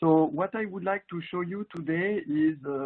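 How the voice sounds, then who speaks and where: With a French accent, a man talks at a moderate pace and a fairly high pitch. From France. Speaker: marketing director presenter. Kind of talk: webinar presentation. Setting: online webinar.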